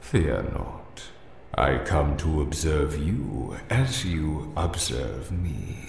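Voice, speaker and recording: Faint music plays behind a man in a put-on character voice with very deep, low pitch. He goes at a very slow pace, with clear echo. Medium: game stream. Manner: slow, grave, archaic.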